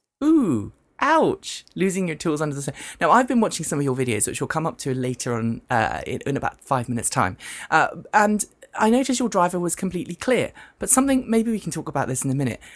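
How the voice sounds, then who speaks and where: A husky woman with a British accent talks very fast at a fairly low pitch, her voice swinging widely up and down. The recording is very clean with a silent background. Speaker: news panel show host. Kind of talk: talk show. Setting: studio, live stream.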